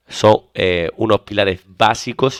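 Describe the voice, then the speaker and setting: A man with an Andalusian accent speaks at a very deep, low pitch with ordinary pitch variation. The recording is very clean, with a silent background and a dry, close sound with no echo. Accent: Andalusian (Seville). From Spain, Seville. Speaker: exam prep teacher. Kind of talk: lecture.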